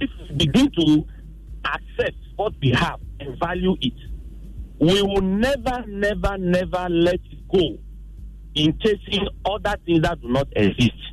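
A man speaks with long, frequent pauses over noticeable background noise. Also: fairly slow pace. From Ghana, Volta region. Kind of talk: phone-in comment.

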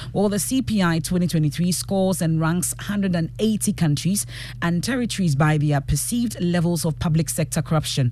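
Spoken with a Ghanaian accent at a moderate pace, the delivery has hardly any pauses. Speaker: radio news anchor. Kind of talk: live radio newsreading with headlines and handovers. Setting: radio studio, live broadcast. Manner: formal, brisk, polished broadcast delivery.

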